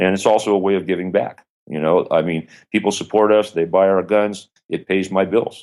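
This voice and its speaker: Here a man with an American accent talks at a fairly quick pace and fairly low pitch, his intonation monotone and flat. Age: 50s. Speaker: gun manufacturer and instructor. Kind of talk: interview.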